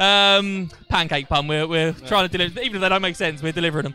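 A man's raised, projected voice with ordinary pitch variation, dry sound with no echo, and faint music in the background. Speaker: matchday show host. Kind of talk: live interview hosting. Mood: jokey, light-hearted. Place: stadium. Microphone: handheld.

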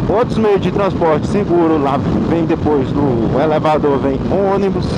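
A man at a fairly slow pace with ordinary pitch variation, dry sound with no echo, and loud background noise. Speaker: motorbike vlogger. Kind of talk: casual vlog chat. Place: motorbike. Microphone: helmet.

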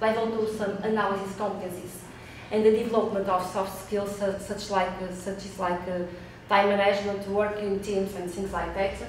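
A woman speaks with monotone, flat intonation. Audible room echo and light background noise are present. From Portugal. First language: Portuguese. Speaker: researcher. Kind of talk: conference presentation. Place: meeting room.

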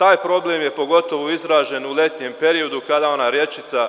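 His intonation is fairly even. The man keeps a moderate tempo. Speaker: assembly councillor. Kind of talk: formal speech to assembly. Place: hall. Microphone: podium.

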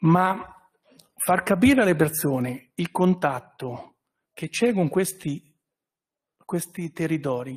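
A man's high-pitched voice at a very slow pace. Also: quiet background. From Italy, Recanati (Marche); Marche, Italy. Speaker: trade association representative. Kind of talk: press conference speech. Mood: warm, personal, grateful. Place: hall. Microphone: podium.

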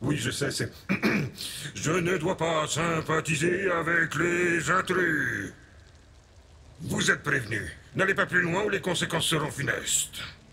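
Through clear background noise, a man puts on a character voice, high-pitched and solemn in tone, moving at a fairly slow pace. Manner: solemn, then sheepish.

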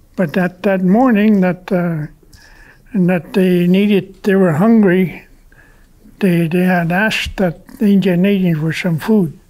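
A man speaks in a high voice at a fairly slow pace. His intonation stays fairly even. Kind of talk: interview answer, oral history. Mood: calm, reflective storytelling. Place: home room.

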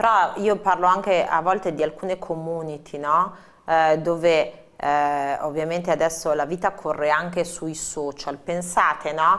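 This woman has an unremarkable speaking voice, fairly low in pitch. She talks at a fairly slow pace with fairly even intonation. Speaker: TV presenter. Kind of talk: live TV interview. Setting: studio. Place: studio.

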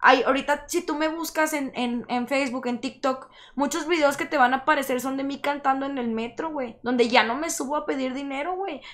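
Pitched high, a woman speaks at a fairly quick pace. Her intonation is fairly even, and the background is quiet. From Monterrey, Nuevo León, Mexico. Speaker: singer-songwriter and rapper; guest. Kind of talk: casual interview chat. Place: studio. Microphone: studio mic.

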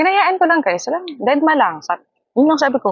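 A woman's animated tone, with very wide pitch swings, at a very fast pace. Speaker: vlogger and live streamer. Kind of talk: casual vlog talk to camera. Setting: outdoors in a hammock. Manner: animated, frequent laughter.

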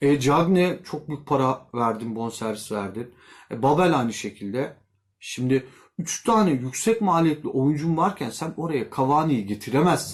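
Lively intonation marks this man's fairly high-pitched voice at a fairly slow pace. The recording is very clean with a silent background. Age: 40s. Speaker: YouTube football commentator. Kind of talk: casual vlog commentary. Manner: conversational, with filler hesitations.

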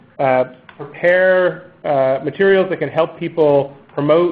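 A man speaks at a fairly slow pace. His intonation is fairly even. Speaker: call host or team lead. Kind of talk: meeting briefing. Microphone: video call.

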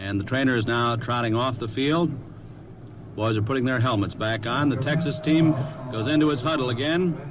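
Speech comes at a moderate pace with ordinary pitch variation. The sound is dry with no echo, and background noise is noticeable. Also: man. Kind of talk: 1950s radio sports broadcast, color commentary and sponsor ads. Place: booth. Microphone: old recording.

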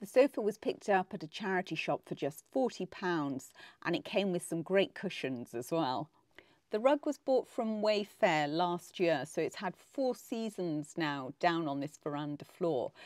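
A woman with an English accent, fairly low in pitch, with very wide pitch swings at a fairly slow pace, on a very clean recording with a silent background and a dry, close sound with no echo. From England. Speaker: home decor vlogger. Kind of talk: narrated home makeover tutorial.

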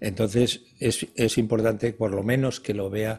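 A man speaks at a fairly low pitch, somewhat breathy, with monotone, flat intonation. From Spain, Galicia (Ferrol area); Galicia, Spain. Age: 70s. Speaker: retired geriatrician; guest. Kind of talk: TV interview. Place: studio. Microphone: lapel.

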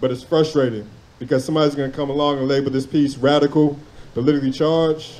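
Very fast and in a flat monotone, a man delivers his words with a passionate, intense tone, his voice dark and mellow yet fairly high-pitched. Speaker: spoken word poet. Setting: stage with audience at a poetry event. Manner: passionate, rhythmic cadence, reverent and then intense, with pauses for impact. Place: open country. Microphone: handheld.

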